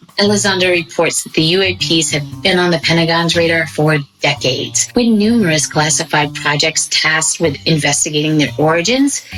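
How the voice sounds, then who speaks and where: A woman's very deep, low voice at a moderate pace, with lively intonation and music in the background. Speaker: podcast host. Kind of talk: breaking news report narration.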